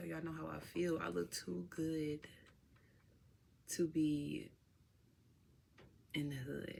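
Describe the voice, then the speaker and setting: Lively intonation in a woman's very deep, low voice. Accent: Chicago. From Chicago. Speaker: vlogger. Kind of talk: casual vlog talk to camera. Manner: animated.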